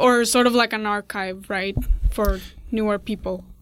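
A woman with a fairly high pitch talks at a moderate pace. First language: not English. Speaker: interviewer. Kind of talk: casual interview.

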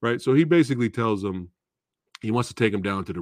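A man speaks in an animated, upbeat tone with very wide pitch swings. The background is quiet. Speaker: YouTube movie channel host. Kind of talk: live casual chat stream. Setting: live stream to online audience. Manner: animated, upbeat, friendly.

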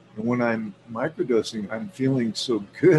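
Pitch variation is ordinary. The delivery runs at a fairly slow pace. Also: man. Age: 60s. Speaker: guest. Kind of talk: casual chat. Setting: video call.

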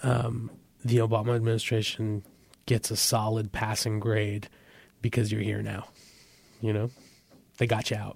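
A man's fairly low voice with an American accent, monotone and flat, at a moderate pace, on a very clean recording with a silent background. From US, San Francisco Bay Area. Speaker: journalist. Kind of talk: interview. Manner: hesitant, with fillers and repeated words.

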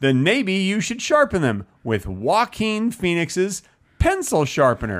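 This man speaks at a fairly slow pace in a high pitch, his voice swinging very widely up and down. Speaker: comedy podcast co-host. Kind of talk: casual chat. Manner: presentational, announcer-like delivery.

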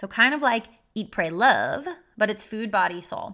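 This woman keeps a moderate pace in a very clean recording with a silent background. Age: 30s. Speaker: podcast host and health coach. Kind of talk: personal storytelling monologue. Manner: casual, animated.

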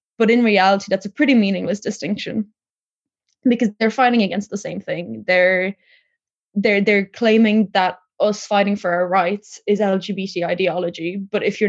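A woman talks at a moderate pace with an Irish accent, her medium pitch fairly even in intonation. The sound is dry and close, with no echo. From Ireland, Tipperary (from Poland, moved at six). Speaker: recent graduate, interviewee. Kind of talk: interview.

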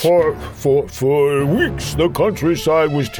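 Putting on a character voice, a man speaks at a fairly high pitch over clear background noise. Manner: dramatic, theatrical delivery.

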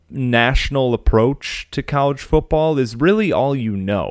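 A man speaks at medium pitch with an American accent. The recording is very clean, with a silent background. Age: 20s. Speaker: sports podcast host. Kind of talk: casual solo podcast talk.

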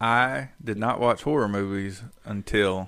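A man with a North Carolina accent speaks at a fairly low pitch with fairly even intonation. The recording is very clean, with a silent background. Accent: US Southern (North Carolina). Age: 30s. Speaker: podcast co-host. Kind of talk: casual chat.

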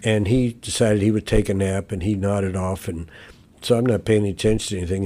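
At a very fast pace, a man speaks with a fairly low pitch and fairly even intonation in a very clean recording with a silent background. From Louisville, Kentucky. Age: 70s. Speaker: recovering alcoholic sharing his story. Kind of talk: casual interview, personal story. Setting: backyard wood shop, recorded in person.

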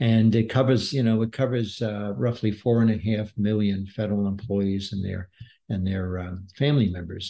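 With an unremarkable speaking voice, a man talks at a moderate pace, his pitch fairly low with ordinary variation, over a quiet background. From Brooklyn, New York. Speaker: business author and former executive. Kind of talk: podcast interview.

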